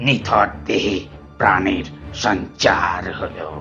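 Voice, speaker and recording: Over faint music in the background, a man performs a put-on character voice. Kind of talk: audio drama.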